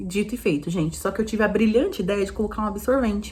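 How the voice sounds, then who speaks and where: A woman talks at a very fast pace. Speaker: vlogger mother. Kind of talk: casual vlog monologue.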